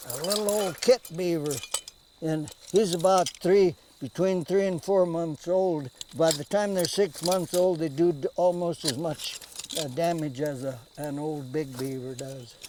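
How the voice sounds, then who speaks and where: Against noticeable background noise, a man with a rural western American accent speaks at a fairly slow pace in a high pitch, with ordinary pitch variation. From US Rocky Mountain West. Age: 80s+. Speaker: trapper. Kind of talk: casual chat. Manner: halting.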